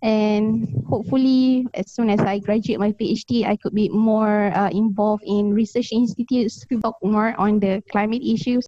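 With a Malaysian accent, a woman speaks at a moderate pace with hardly any pauses, her fairly high, somewhat breathy voice carrying a dark, mellow tone, fairly even intonation and very even loudness in a dry, close sound with no echo. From Malaysia, Kuala Lumpur. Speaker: climate researcher and advocate. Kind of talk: relaxed interview. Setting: remote call from Taiwan. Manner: laughs often.

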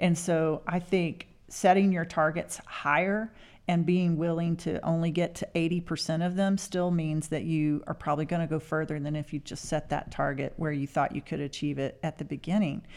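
A woman speaks with a Texas accent. Her intonation stays fairly even. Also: fairly low pitch for a woman, moderate pace. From Texas Panhandle. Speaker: mayor. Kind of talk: interview.

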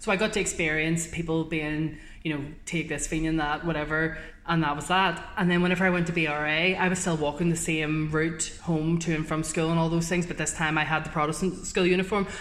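A woman speaks with a Northern Irish accent in a fairly low, flat monotone. Audible room echo surrounds her. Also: fairly quick pace. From Northern Ireland. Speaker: journalist. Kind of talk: casual chat.

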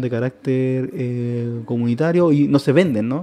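A man's medium-pitched voice, an ordinary speaking voice, with ordinary pitch variation. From Chile, Santiago. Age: 30s. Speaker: anthropologist. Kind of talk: interview. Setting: radio studio.

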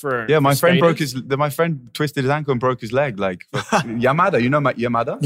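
With an English accent, a man speaks at a fairly slow pace with ordinary pitch variation and hardly any pauses. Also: fairly high pitch for a man. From England. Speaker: DJ; podcast guest.

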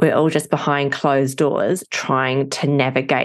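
Her pitch sits very deep and low. This woman talks at a fairly slow pace. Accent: New Zealand. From New Zealand. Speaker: addiction family coach, wife of person in recovery. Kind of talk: podcast interview.

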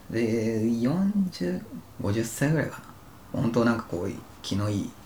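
With lively intonation, a man speaks at a medium pitch and a moderate pace, with audible room echo. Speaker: podcast co-host, office worker. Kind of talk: casual chat.

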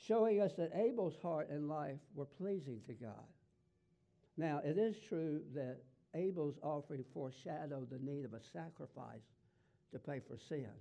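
Lively intonation from a man in a Southern US accent, fairly high in pitch with a dark, mellow tone, at a moderate pace. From US South. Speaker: pastor. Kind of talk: sermon. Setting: church.

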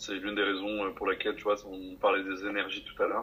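A man speaks at a moderate pace. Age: 20s. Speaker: life coach. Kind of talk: casual interview.

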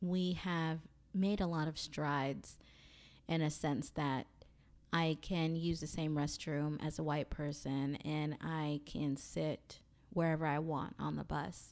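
A woman's very deep, low voice in an American accent, very slow and monotone with flat intonation, on a very clean recording with a silent background. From US South, Mobile, Alabama. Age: 30s. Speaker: podcast host. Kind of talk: solo monologue.

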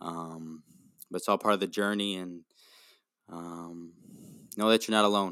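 In an Upper Midwest accent, a man with a very deep, low pitch and a bright, sharp tone speaks at a fairly slow pace with monotone, flat intonation and long, frequent pauses. His loudness swings widely, on a very clean recording with a silent background. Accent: Upper Midwest American. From Wisconsin, US Midwest. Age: 20s. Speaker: factory worker and mental health advocate. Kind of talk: casual interview. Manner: halting, many fillers.

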